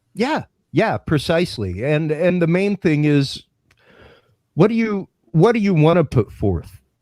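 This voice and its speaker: A man's high-pitched voice with a dark, mellow tone and lively intonation, at a fairly slow pace with long, frequent pauses, in a very clean recording with a silent background and a dry, close sound with no echo. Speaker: podcast host and audio producer. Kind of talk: casual chat. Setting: live stream. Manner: occasional stammering.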